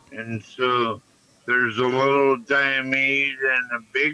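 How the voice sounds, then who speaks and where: Very slow speech from a man with an American accent, medium in pitch, against noticeable background noise. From United States. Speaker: stream panelist. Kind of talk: casual chat.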